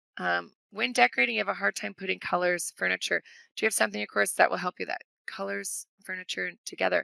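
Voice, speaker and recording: In a dry, close sound with no echo, a woman speaks at a very fast pace. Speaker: business coach and trainer. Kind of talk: webinar workshop with Q&A. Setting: online webinar. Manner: animated.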